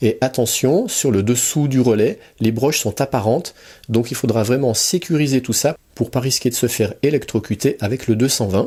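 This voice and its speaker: Somewhat breathy and dark, mellow in tone, this voice moves at a moderate pace with very even loudness and ordinary pitch variation. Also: man, medium pitch for a man. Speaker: electronics hobbyist youtuber. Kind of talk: tutorial. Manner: soft-spoken.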